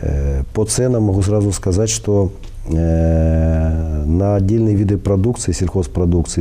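This man's voice sits very deep and low, with ordinary pitch variation. He speaks at a fairly slow pace. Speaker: guest. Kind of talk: interview answer. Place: studio. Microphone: lapel.

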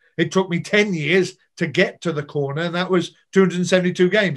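A man at a moderate pace, with fairly even intonation over a quiet background. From Birmingham, England. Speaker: former rugby player, marketing director. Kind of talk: podcast interview answer. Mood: nostalgic, proud. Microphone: video call.

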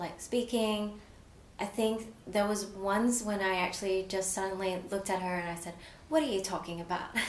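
Woman in an Australian accent, fairly even intonation, audible room echo and light background noise. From Australia, partly raised in Malaysia. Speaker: provisional psychologist. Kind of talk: personal story interview. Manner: frequent fillers, hesitant. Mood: warm, reflective, smiling. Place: studio.

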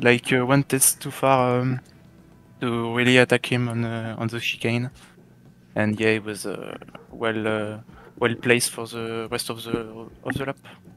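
A man with a French accent speaks at medium pitch in a monotone, flat intonation. He goes fairly slowly, with long, frequent pauses. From France. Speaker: sim racing driver. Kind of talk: post-race interview. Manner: halting.

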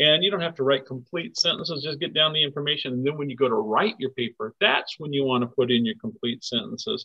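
Over a quiet background, a man speaks with a bright, sharp tone. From US, southern Oregon. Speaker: environmental educator. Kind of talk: educational webinar for children. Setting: recorded webinar in a shared room. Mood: friendly, encouraging. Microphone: webcam.

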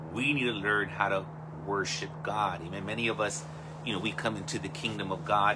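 A man speaks over noticeable background noise. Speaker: pastor. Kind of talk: sermon. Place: home room. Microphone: phone near.

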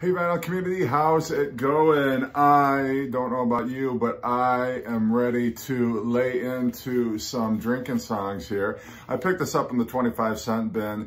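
A man is speaking at a fairly slow pace. His pitch shows ordinary variation. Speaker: record collector vlogger. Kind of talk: casual vlog chat. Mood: upbeat, excited. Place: home room. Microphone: phone near.

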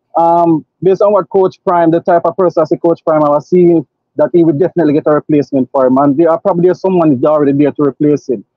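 A man speaks very fast with hardly any pauses, fairly even intonation and a fairly high pitch. His loudness stays very even, and the sound is dry with no echo over a quiet background. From Jamaica. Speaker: caller. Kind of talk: casual chat. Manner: halting. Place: car. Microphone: video call.

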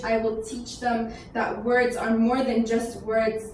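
A woman talks at a moderate pace with monotone, flat intonation. Light background noise and audible room echo are present. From Iran. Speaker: spoken word poet. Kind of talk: spoken word poetry performance. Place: hall.

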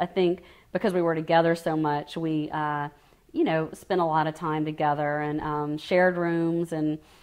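Against a quiet background, a voice with a Louisiana accent moves at a moderate pace in monotone, flat intonation. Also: woman, very deep, low pitch for a woman. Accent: Southern US, Louisiana. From US South, Lafayette, Louisiana. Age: 40s. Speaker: oral history interviewee; interviewee. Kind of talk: oral history interview. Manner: hesitant, many fillers. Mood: warm, reflective. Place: home room.

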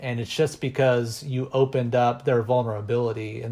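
A man speaks with an American accent. His voice is somewhat breathy, with fairly even intonation. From Texas. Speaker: music educator and percussionist. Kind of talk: podcast interview.

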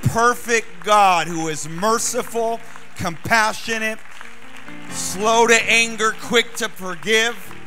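A man speaks at a very slow pace in a raised, projected voice with ordinary pitch variation. Faint music plays in the background. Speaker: guest preacher. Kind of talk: sermon. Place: church. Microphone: handheld.

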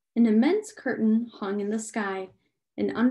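An unforced reading voice comes through over a quiet background.

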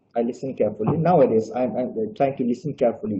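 Speaking in a Bangladeshi accent, a man uses lively intonation. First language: Bengali. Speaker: graduate student presenter. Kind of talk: webinar presentation. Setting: video call. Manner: slow; halting.

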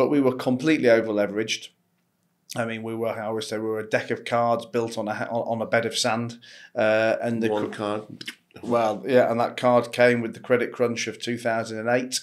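Speaking at a moderate pace, a man with a British accent holds a medium pitch and a monotone, flat intonation on a very clean recording with a silent background. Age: 40s. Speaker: entrepreneur and investor. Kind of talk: interview conversation. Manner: halting, with frequent repetitions and fillers.

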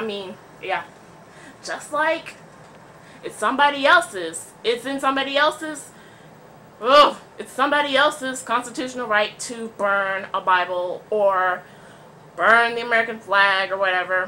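A woman with a fairly high pitch and a bright, sharp tone speaks at a moderate pace with lively intonation, big swings in loudness and long, frequent pauses, over light background noise. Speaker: vlogger. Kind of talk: casual talk to camera. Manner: stuttering, awkward pauses. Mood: opinionated, sarcastic, animated. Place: home room. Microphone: webcam.

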